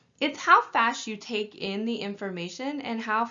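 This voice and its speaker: A woman with a fairly high pitch and an unremarkable speaking voice, at a moderate pace with ordinary pitch variation. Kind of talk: training lecture.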